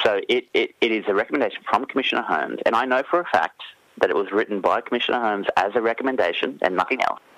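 Very fast speech in an Australian accent, with a dry, close sound and no echo. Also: man. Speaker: newspaper reporter. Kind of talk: radio interview. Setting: phone call.

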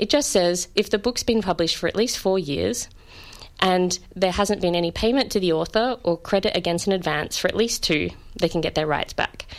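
Here is a woman with an ordinary speaking voice at medium pitch and ordinary pitch variation. She talks at a fairly quick pace. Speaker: copyright law academic. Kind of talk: interview discussion.

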